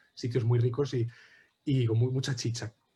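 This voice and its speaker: A man talks at a fairly quick pace in a somewhat breathy voice. His tone is dark and mellow, and his intonation is flat and monotone. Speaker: anthropology researcher. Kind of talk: academic presentation. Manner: fast.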